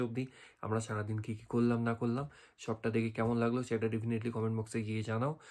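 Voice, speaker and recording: On a very clean recording with a silent background, a man speaks at a medium pitch in a flat, monotone delivery. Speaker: travel vlogger. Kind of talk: vlog outro.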